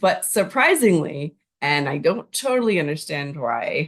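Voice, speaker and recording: This woman has an ordinary speaking voice and a Canadian accent. Her pitch is fairly low, and her intonation is lively. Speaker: language learner vlogger. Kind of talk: casual vlog monologue. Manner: chatty, many fillers.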